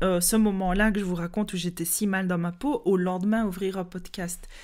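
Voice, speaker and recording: A woman with a Liège accent speaks at a moderate pace and medium pitch on a very clean recording with a silent background. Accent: Liège Belgian French. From Belgium, Liège. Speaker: podcast host, yoga teacher. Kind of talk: personal development podcast monologue. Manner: hesitant, many fillers and repetitions.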